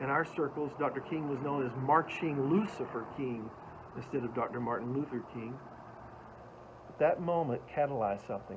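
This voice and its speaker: A man speaks at a moderate pace with a fairly high pitch, ordinary pitch variation and long, frequent pauses. Noticeable background noise is present. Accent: American. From US South, Atlanta, Georgia. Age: 60s. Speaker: motivational speaker. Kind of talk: motivational talk.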